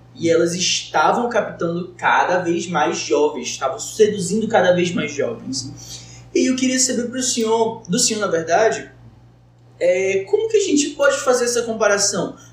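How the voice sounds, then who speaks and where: Audible room echo surrounds a man with a high-pitched voice. He talks at a moderate pace with lively intonation. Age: 20s. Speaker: medical student, podcast co-host. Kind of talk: roundtable conversation. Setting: studio.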